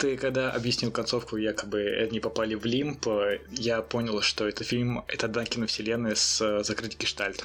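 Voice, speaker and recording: Medium-pitched male speech at a moderate pace, monotone and flat, with very even loudness over noticeable background noise. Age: young. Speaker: film podcast co-host. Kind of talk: casual chat.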